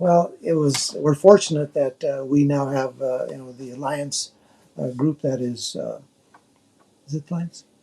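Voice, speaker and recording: With an American accent, a man talks at a moderate pace in a fairly high pitch, his tone dark and mellow. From southern Colorado, US (Trinidad area). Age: 70s. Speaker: mayor. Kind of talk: interview. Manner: hesitant, many filler words.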